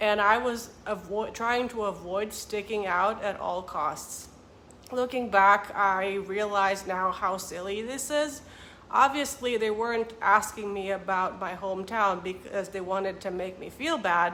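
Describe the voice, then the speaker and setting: Audible room echo surrounds a woman with a Romanian accent. Her bright, sharp voice moves at a fairly slow pace. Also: medium pitch for a woman, ordinary pitch variation. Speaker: vlogger and author. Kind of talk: casual vlog talk to camera.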